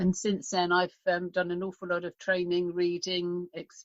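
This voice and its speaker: This voice has a British accent. The pace is moderate. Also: woman. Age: 60s. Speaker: health mentor and radio host. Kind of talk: interview. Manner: halting, many repetitions.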